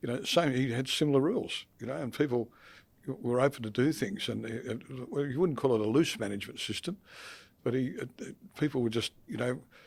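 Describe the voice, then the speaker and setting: A man speaks with an Australian accent at a medium pitch. He talks at a fairly quick pace, and his pitch varies in an ordinary way. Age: old. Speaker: accounting firm partner and podcast co-host. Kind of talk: casual chat. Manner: halting.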